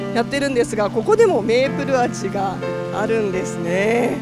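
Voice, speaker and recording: Loud music plays in the background while a woman speaks. Her pace is moderate, and the sound is dry with no echo. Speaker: local TV reporter. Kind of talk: on-location report commentary. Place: market. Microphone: handheld.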